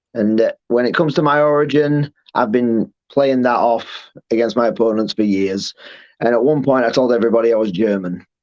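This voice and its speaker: Fairly quick speech from a man with a Yorkshire accent, at medium pitch and very even loudness. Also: ordinary pitch variation. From Yorkshire, northern England. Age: 30s. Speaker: professional wrestler. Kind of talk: interview.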